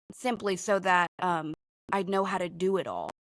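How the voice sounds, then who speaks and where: A woman of medium pitch speaks in a monotone, flat intonation, with a dry, close sound and no echo. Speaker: psychic reader and podcast host. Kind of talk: casual chat with psychic reading. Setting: live stream. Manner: loud; halting, many fillers.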